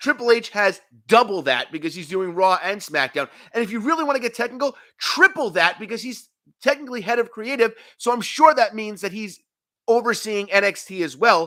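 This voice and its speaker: A man speaks in a raised, projected voice at a high pitch and a fairly quick pace, his tone bright and sharp. The recording is very clean, with a silent background. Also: lively intonation, big swings in loudness. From New York. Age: 30s. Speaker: wrestling talk show host. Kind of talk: live stream chat. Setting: home apartment live stream.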